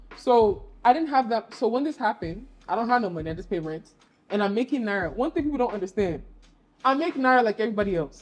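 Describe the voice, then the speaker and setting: Speaking very fast with an American accent, a woman swings her fairly high pitch very widely. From US, DMV area (Virginia). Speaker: creative professional and brand ambassador. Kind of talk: podcast interview. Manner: casual, animated storytelling.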